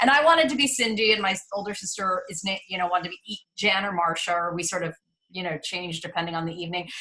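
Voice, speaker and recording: Talking at a very fast pace with an ordinary amount of pitch variation, a woman with a medium-pitched voice and a Midwestern accent lets her loudness swing widely. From New York City, Upper East Side. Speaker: casting director. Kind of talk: interview.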